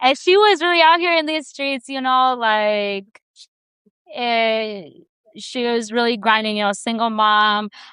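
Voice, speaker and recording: Lively intonation and a bright, sharp tone mark this voice with a Chicago accent. The pace is fairly slow. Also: woman, fairly high pitch for a woman. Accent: Chicago-area American. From Chicago area, Bolingbrook, Illinois. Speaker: artist and community organizer. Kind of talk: onstage interview conversation.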